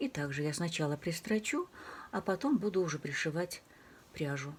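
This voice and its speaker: Soft-spoken and somewhat breathy, a woman speaks at a moderate pace with a fairly low pitch and lively intonation. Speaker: crafts channel host. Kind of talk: tutorial.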